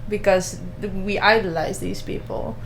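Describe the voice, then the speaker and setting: A woman at a moderate pace amid noticeable background noise and audible room echo. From Netherlands. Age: 20s. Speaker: radio host. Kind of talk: casual chat.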